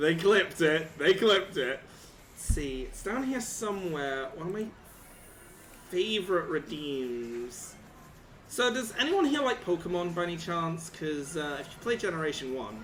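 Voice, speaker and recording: Delivered at a moderate pace, the voice makes very wide pitch swings and big swings in loudness, with audible room echo and noticeable background noise. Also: man, high pitch for a man. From Britain. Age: 20s. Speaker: streamer. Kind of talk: live stream chat. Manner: animated.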